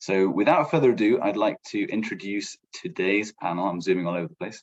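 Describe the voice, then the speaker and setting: With an English accent, this man's fairly low voice moves at a fairly quick pace and rises and falls in a lively way. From England. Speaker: program manager, former international student advisor. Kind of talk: panel presentation.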